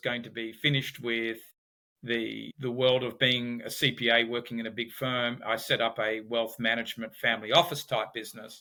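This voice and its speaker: A man at a moderate pace with an Australian accent. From Australia, Sydney. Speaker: business founder and behavioral economics expert. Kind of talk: podcast interview.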